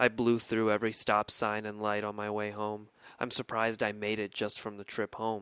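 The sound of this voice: An unforced reading voice is heard throughout.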